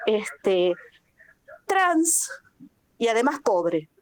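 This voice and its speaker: A woman speaks at a very slow pace, her pitch swinging very widely. The sound is dry and close, without any echo. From Argentina. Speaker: workshop participant, researcher. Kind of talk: group discussion contribution.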